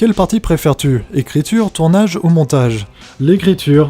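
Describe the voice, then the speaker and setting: A man's fairly high-pitched, lively intonation in a normal speaking voice. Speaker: YouTuber answering viewer questions. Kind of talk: viewer Q&A monologue.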